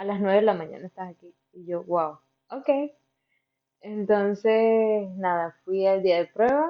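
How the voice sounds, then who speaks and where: A woman speaks very slowly at a medium pitch, with ordinary pitch variation. Her loudness swings widely. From Venezuela, Barinas (western Venezuela). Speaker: pharmacy trainee, former au pair. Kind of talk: casual interview.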